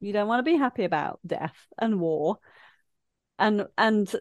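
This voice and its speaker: A woman speaks with an East Midlands accent. Her intonation is lively. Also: quiet background. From English Midlands (Leicester). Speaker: life coach. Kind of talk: casual interview chat.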